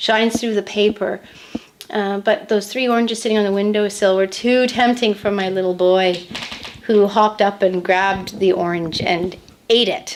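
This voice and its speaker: Against noticeable background noise, a woman with a Canadian accent speaks at a medium pitch with fairly even intonation. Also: moderate pace. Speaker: painter. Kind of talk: interview. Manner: halting, repeats words.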